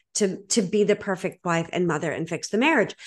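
Against a quiet background, a woman with an American accent and a plain, everyday voice talks at a medium pitch and a moderate pace. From Boston, Massachusetts. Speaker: podcast host, divorce coach. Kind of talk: interview conversation.

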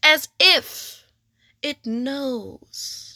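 Raised and projected, a woman's voice carries a high pitch, a bright, sharp tone and fairly even intonation. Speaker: poetry reader. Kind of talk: spoken word blessing, reading a poem aloud. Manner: slow, tender, contemplative.

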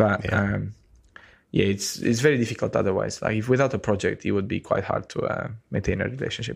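A man with a Romanian accent talks at a very fast pace. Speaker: podcast co-host. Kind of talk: casual chat. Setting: video call.

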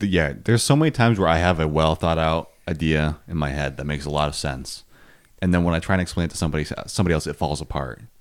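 A man with an American accent talks at a very fast pace in a very deep, low voice with vocal fry. His pitch varies in an ordinary way, and the recording is very clean with a silent background. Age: 19. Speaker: podcast co-host. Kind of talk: casual chat.

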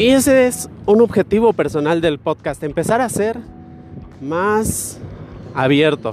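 With noticeable background noise behind him, a man speaks at a very slow pace and a high pitch, making very wide pitch swings and long, frequent pauses. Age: 20s. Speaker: podcaster. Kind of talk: casual monologue. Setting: outdoors, walking.

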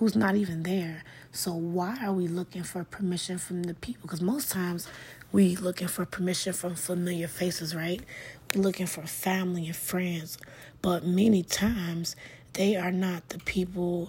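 Somewhat breathy and fairly low-pitched, a woman speaks at a moderate pace with fairly even intonation. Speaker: podcast host. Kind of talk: solo motivational monologue. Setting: home living room.

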